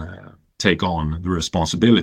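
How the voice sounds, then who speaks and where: On a very clean recording with a silent background, a man with a Swedish accent speaks in a very deep, low voice. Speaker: tech consultancy partner. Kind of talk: panel discussion. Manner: halting.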